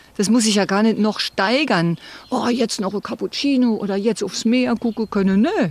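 Over noticeable background noise, a woman with a fairly high pitch speaks at a moderate pace with ordinary pitch variation and very even loudness. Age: 60s. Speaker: retiree interviewee, former secretary. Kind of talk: interview, personal story.

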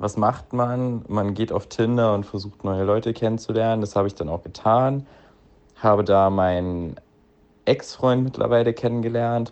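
With a normal speaking voice, a man talks at a moderate pace and fairly even intonation. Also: medium pitch for a man. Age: 20s. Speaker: listener sending a voice message. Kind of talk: recorded voice message telling a personal story.

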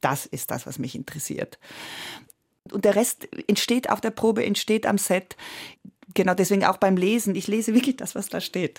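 A woman with an Italian accent uses lively intonation and vocal fry, leaving long, frequent pauses. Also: medium pitch for a woman, moderate pace, dry, close sound with no echo. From Switzerland, Italian-speaking Graubünden. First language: Italian (speaking German). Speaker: stage and film actress. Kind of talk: radio interview.

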